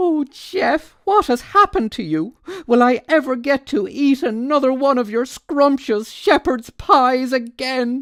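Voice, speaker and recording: A woman puts on a character voice, speaking high in pitch at a fairly slow pace. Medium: read story.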